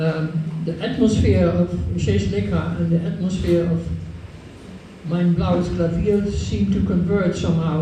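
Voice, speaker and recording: A man speaks at a fairly slow pace with very even loudness. Noticeable background noise and audible room echo fill the recording. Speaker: scholar of Indian literature. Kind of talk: lecture Q&A answers. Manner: halting, many repetitions.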